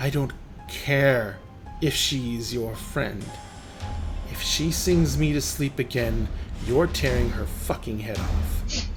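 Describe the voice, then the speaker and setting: In a put-on character voice, the speaker sounds guttural and low-pitched, talking at a fairly slow pace with long, frequent pauses against clear background noise. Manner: angry, threatening.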